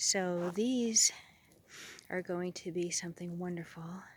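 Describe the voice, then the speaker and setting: A woman is whispering. Her pace is fairly slow. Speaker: gardener. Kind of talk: garden tour vlog. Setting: outdoors. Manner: chatty.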